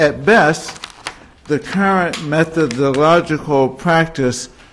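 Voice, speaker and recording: Speaking at a very slow pace, a man with a fairly high pitch and ordinary pitch variation comes through noticeable background noise. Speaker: moderator. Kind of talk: formal introduction. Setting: stage with audience.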